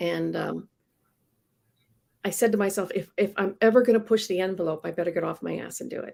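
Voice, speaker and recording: The speaker, with an American accent, talks at a fairly quick pace with long, frequent pauses. Loudness swings a lot. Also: woman. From Iowa, US Midwest. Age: 60s. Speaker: comic book inker. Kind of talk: casual interview chat.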